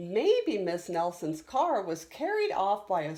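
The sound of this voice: The clip features an unforced reading voice.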